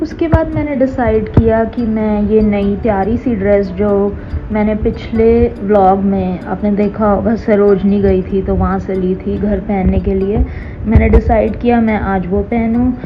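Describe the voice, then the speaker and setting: A woman at medium pitch with fairly even intonation, amid audible room echo and noticeable background noise. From Punjab, India. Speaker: lifestyle vlogger. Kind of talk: scripted vlog voice-over. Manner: Hindi mixed with English words.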